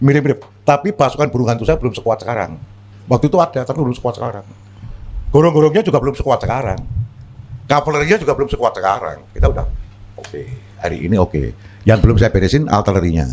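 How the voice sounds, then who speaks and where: With very wide pitch swings, a medium-pitched man talks very fast yet leaves long, frequent pauses. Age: 60s. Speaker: politician. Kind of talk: talk show discussion.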